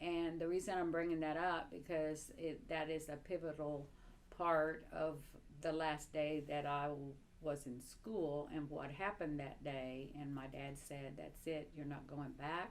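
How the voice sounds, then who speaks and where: Over an audible room echo, a woman speaks fairly slowly at a very deep, low pitch with fairly even intonation. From Cuba, Havana. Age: 70s. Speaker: interviewee recounting life under communism. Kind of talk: personal testimony interview. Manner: halting, many fillers.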